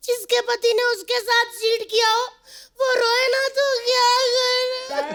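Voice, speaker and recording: This is a put-on character voice that sounds female. Its pitch is extremely high. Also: moderate pace. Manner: tearful, bitter.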